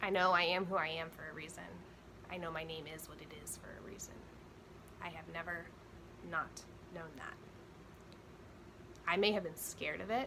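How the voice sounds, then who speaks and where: With audible room echo and noticeable background noise, a woman with a fairly low voice talks at a fairly quick pace in fairly even intonation, her loudness swinging widely between long, frequent pauses. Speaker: spiritual coach, vlogger. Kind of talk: personal spiritual monologue. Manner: emotional, trembling at times.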